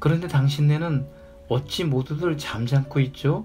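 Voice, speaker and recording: Over music in the background, a man speaks very slowly at a fairly high pitch with fairly even intonation. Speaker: audiobook reader. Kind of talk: audiobook reading of a classic short story. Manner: calm, soft-spoken, ASMR-style reading.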